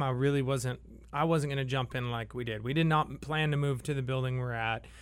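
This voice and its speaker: This very clean recording has a silent background. On it, a man's pitch shifts in an ordinary way. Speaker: brewery owner. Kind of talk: casual chat. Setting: studio.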